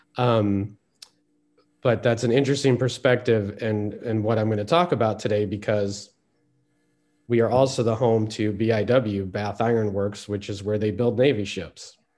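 A man speaks at a moderate pace with fairly even intonation. His is a normal speaking voice, fairly low in pitch. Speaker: speaker on peacebuilding history.

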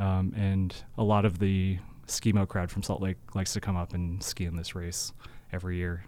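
On a very clean recording with a silent background, a man in an American accent talks at a fairly slow pace in a dark, mellow tone. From US Pacific Northwest, Seattle. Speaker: ski race director. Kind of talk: casual interview. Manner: halting, many fillers.

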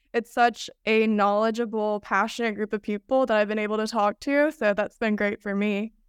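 In a very clean recording with a silent background, a woman with a fairly high pitch talks at a fairly quick pace in a monotone, flat delivery, the sound dry and close with no echo. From Rome, Georgia. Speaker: medical student. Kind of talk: casual interview.

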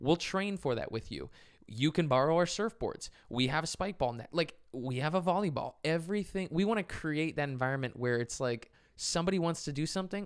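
This is a plain, everyday voice with lively intonation at a fairly quick pace. The recording is very clean, with a silent background. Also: man. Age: 20s. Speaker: podcast co-host. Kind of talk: casual chat.

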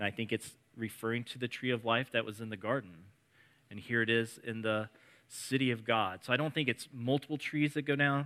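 A man with a Midwestern US accent talks at a fairly quick pace, his medium-pitched voice keeping fairly even intonation. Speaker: preacher. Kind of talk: sermon. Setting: church with congregation.

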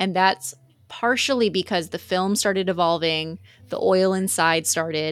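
Speaking in a Texan accent, a woman keeps a moderate pace at a medium pitch with ordinary pitch variation. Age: 20s. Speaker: HVAC industry sales representative. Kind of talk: casual chat. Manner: animated.

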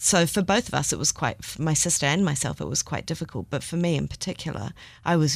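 A woman with a New Zealand accent talks at a fairly quick pace with vocal fry, on a very clean recording with a silent background. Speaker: podcast co-host. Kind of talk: casual chat.

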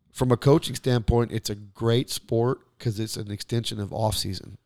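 An unremarkable speaking voice from a man, medium in pitch, with fairly even intonation and a moderate pace, in a dry, close sound with no echo. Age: 40s. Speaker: podcast co-host, coach. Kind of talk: casual chat.

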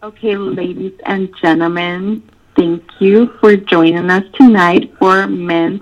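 A woman with a medium-pitched voice speaks at a very slow pace with lively intonation. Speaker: podcast guest. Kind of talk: podcast sign-off.

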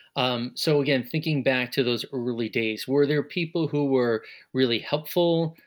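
An unremarkable speaking voice from a man with an American accent, medium pitch and moderate pace, on a very clean recording with a silent background. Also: fairly even intonation. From Long Island, New York. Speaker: interviewer, radio alumnus. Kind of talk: interview.

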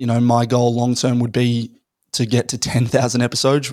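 In an Australian accent, a man speaks at medium pitch with monotone, flat intonation and a dry, close sound with no echo. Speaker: podcaster and startup founder. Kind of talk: casual chat.

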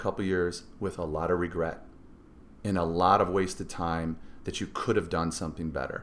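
A man talks at a moderate pace. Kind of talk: motivational pep talk. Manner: earnest, driving, emphatic, urging listeners to go all in.

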